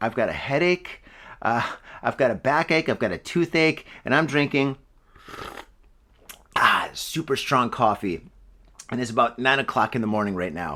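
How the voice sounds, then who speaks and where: Using a put-on character voice, a man sounds raspy at medium pitch, with lively intonation. His pace is moderate, broken by long, frequent pauses. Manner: complaining.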